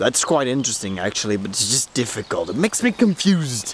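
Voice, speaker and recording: A man's voice swings very widely in pitch, recorded dry with no echo over light background noise. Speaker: vlogger. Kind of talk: casual vlog chat. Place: garden. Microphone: phone near.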